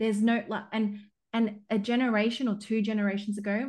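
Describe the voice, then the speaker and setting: A woman talks at a medium pitch and a fairly quick pace. Her voice is somewhat breathy against a quiet background. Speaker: business coach. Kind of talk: interview conversation. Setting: LinkedIn live audio event.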